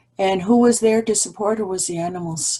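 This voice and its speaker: Over a quiet background, a woman speaks at a moderate pace in a dark, mellow, somewhat breathy tone, her medium pitch showing ordinary variation. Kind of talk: opening address. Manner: shaky voice; halting.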